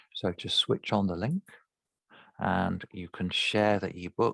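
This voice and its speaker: Dry, close sound with no echo and a very clean recording with a silent background present a man speaking. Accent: London. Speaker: speech therapist. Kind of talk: tutorial. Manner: halting.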